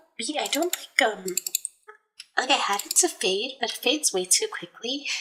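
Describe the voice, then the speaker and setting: A soft-spoken woman talks with very wide pitch swings. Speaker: livestreamer. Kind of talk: casual chat. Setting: livestream.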